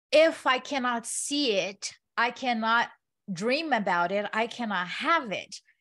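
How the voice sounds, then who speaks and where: A woman's high-pitched voice with a non-native accent, lively intonation, and a very clean recording against a silent background. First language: not English. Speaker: real estate investor and developer. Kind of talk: interview.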